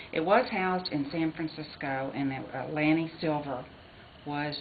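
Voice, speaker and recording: Amid audible room echo and noticeable background noise, a woman with a Texan accent talks at a fairly quick pace. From Texas. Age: 60s. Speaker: interviewee, former Jasper resident. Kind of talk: research interview.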